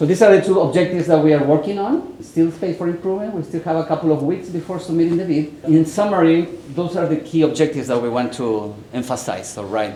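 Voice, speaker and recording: In a Chilean accent, a man talks very fast at a high pitch with ordinary pitch variation and hardly any pauses, amid audible room echo and noticeable background noise. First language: Spanish. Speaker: university professor, researcher. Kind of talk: conference presentation. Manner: some halting, repeated words.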